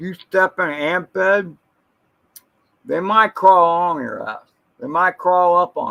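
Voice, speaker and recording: A man speaks fairly slowly at a high pitch, his bright, sharp tone carrying lively intonation, big swings in loudness and long, frequent pauses. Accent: American. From Florida, US. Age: 60s. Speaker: live streamer. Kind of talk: casual live stream chat. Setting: live stream. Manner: animated.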